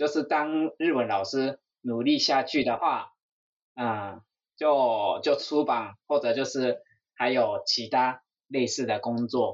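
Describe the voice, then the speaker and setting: This man speaks with a Japanese accent. His pace is very slow. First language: Japanese (speaking Chinese). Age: 40s. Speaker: Japanese language teacher and YouTuber. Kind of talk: interview chat.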